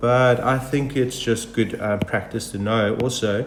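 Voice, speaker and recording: A man's medium-pitched voice with fairly even intonation over noticeable background noise. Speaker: math teacher. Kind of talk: tutorial. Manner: casual with fillers.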